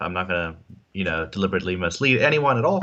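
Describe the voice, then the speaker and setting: The man has a bright, sharp tone and a slight South African accent. The background is quiet. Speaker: insurance agent. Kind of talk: interview on live stream. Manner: hesitant, many fillers.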